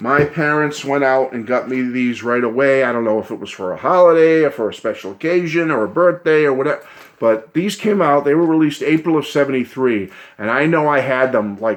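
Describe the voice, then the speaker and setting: A man speaks with a fairly high pitch and ordinary pitch variation. His pace is fairly quick. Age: 60s. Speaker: music YouTuber. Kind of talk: casual vlog reminiscence. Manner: animated.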